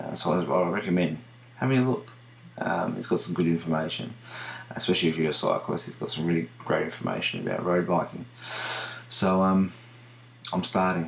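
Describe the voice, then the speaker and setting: Speaking at a fairly quick pace with long, frequent pauses, a man with an Australian accent uses a very deep, low pitch and lively intonation over noticeable background noise. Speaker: video diarist with diabetes. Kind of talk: video diary. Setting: home at night. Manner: halting, many fillers.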